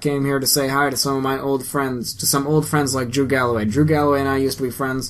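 The reading here comes in an unforced voice.

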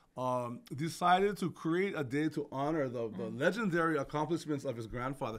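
A man speaks with a Hawaiian accent at a moderate pace and fairly high pitch. His intonation is lively, and the background is quiet. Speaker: podcast co-host, works in education; podcast co-host. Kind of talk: casual chat with history explanations. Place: studio. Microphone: studio mic.

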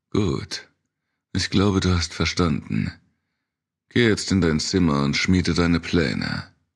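A man's very deep, low voice with vocal fry, an intense, menacing tone and very even loudness, ordinary pitch variation, a very slow pace and long, frequent pauses. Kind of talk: dramatic audiobook narration of a horror novel. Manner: intense, menacing, shifting between narration and character voices.

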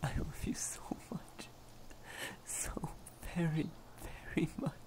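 Someone whispers at a fairly slow pace. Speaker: voice actor for romantic character. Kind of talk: role-play monologue. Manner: soft, tender ASMR murmur.

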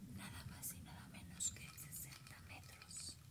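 A woman is speaking. She talks very slowly. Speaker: ASMR artist. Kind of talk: ASMR relaxation video.

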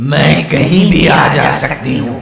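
A put-on character voice at a slow pace, with vocal fry, a fairly bright tone, ordinary pitch variation and faint music in the background. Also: man, medium pitch for a man.

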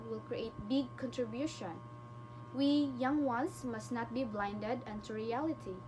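Noticeable background noise runs under the speech. The pace is moderate, and the pitch swings very widely. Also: woman. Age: young. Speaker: student presenter; presenter. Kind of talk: class presentation. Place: home room. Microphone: webcam.

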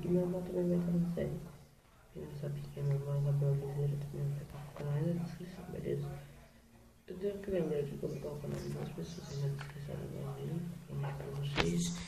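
A quiet man speaks at a fairly quick pace, with noticeable background noise and audible room echo. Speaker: gaming youtuber. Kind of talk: gameplay commentary. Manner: speaking quietly; casual, chatty.

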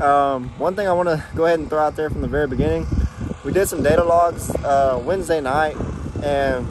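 A man at a fairly quick pace, with dry sound, no echo, and noticeable background noise. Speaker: car enthusiast vlogger. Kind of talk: casual vlog chat. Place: street. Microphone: phone near.

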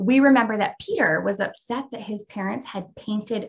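The pitch varies in an ordinary way while the speaker reads aloud in a natural voice.

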